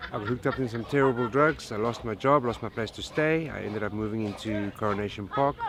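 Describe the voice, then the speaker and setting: Against noticeable background noise, a man races along at a very fast pace with hardly any pauses, his medium pitch showing ordinary variation. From South Africa, Cape Town. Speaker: slum resident. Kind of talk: interview.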